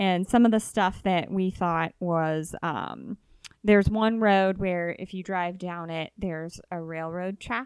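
A woman with a Midwestern accent speaks at a very slow pace. Her pitch is medium and her intonation fairly even. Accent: US Midwest (Ohio). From northeastern Ohio, Youngstown area. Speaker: podcast co-host. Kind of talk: casual chat.

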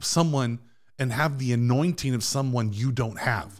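On a very clean recording with a silent background, a man speaks at a medium pitch in an ordinary speaking voice. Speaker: pastor guest. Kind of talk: casual chat. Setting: studio.

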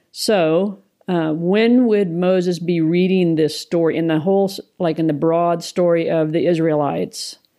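A woman with a normal speaking voice talks at a moderate pace. Her pitch is fairly low and her intonation fairly even. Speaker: ministry co-founder. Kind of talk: casual chat.

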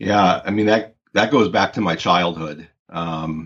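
A man's an ordinary speaking voice in an American accent, fairly slow, with ordinary pitch variation. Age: 40s. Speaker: sports physiologist and youth athlete development researcher. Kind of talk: interview conversation.

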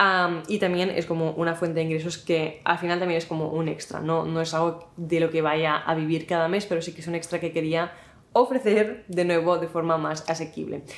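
Hardly pausing, a woman speaks at a fairly low pitch with monotone, flat intonation. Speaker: YouTuber and content creator. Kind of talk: casual talking-head vlog. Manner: fast.

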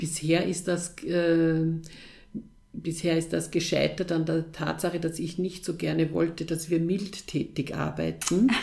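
Her voice is fairly low for a woman, dark and mellow in tone, with vocal fry and a monotone, flat intonation. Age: 50s. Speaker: head of a girls' counselling organisation. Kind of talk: interview. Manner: hesitant, with many fillers.

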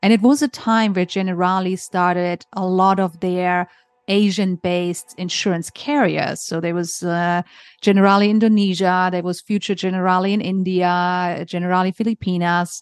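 A woman with a German accent speaks at a medium pitch and a moderate pace. Her intonation is fairly even, and the background is quiet. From Germany. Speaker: insurance author and consultant. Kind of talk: podcast interview.

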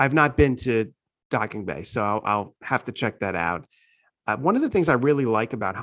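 The background stays quiet as a man speaks in a normal speaking voice. His pitch is medium, with ordinary pitch variation. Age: 40s. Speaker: podcast host. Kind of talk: casual interview chat. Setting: virtual recording.

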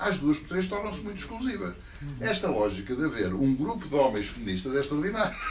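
Amid noticeable background noise, a man speaks at a very fast pace with a fairly high pitch and very wide pitch swings. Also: big swings in loudness. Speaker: audience member asking questions. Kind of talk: audience question.

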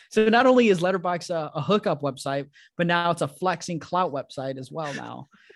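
An animated tone at a fairly quick pace, with ordinary pitch variation and big swings in loudness. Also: man, high pitch for a man. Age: 20s. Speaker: fellow podcast host. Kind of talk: casual chat. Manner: animated, laughing often.

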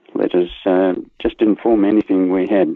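Fairly slow speech from a man with an Australian accent. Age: 90s. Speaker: war veteran. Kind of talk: interview storytelling.

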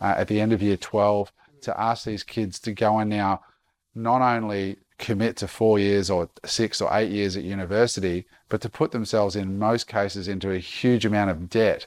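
A man with an Australian accent speaks at a fairly low pitch. The sound is dry and close with no echo, on a very clean recording with a silent background. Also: fairly even intonation, moderate pace. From Queensland, Australia. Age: 40s. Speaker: entrepreneur and speaker. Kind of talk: podcast interview. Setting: at guest's home.

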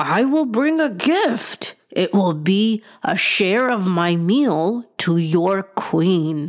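Someone in a put-on character voice speaks at a very slow pace and middle pitch, with hardly any pauses. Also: female-sounding voice. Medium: read story. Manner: gentle, courteous.

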